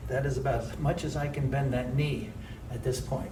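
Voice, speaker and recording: Amid audible room echo and noticeable background noise, a man speaks at a moderate pace in a fairly high voice. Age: 60s. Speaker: jazz and tap dancer vlogger. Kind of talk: casual video diary while exercising. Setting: dance studio. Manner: conversational, with effort sounds and pauses.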